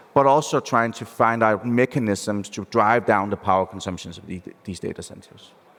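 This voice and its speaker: Fairly low-pitched male speech in a Danish accent, with ordinary pitch variation and a moderate pace. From Denmark. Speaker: venture capital investor. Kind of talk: panel discussion. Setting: stage with live audience.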